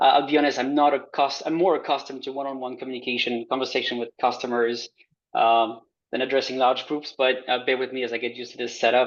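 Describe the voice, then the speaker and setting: Delivery comes at a very fast pace with a French accent. The intonation is monotone and flat. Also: man, medium pitch for a man. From France. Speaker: transit customer advocate. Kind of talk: presentation. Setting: video call.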